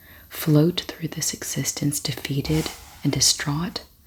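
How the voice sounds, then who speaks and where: Soft-spoken with a gentle tone, the voice moves at a fairly slow pace. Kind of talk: ASMR soft-spoken book reading. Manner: soft-spoken, gentle.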